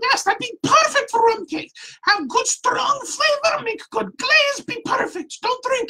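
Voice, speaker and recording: A man uses a squeaky put-on character voice, extremely high in pitch. He speaks at a moderate pace. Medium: read story. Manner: terse, clipped broken phrasing.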